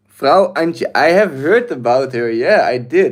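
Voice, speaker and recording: A man with a Dutch accent, ordinary pitch variation and a moderate pace. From Netherlands. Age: 20s. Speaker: livestreamer. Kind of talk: live stream chat. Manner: hesitant, many fillers.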